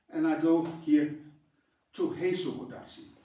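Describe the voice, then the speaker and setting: A man with lively intonation at a fairly slow pace, with audible room echo. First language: Danish. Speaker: karate instructor. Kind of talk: tutorial. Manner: halting.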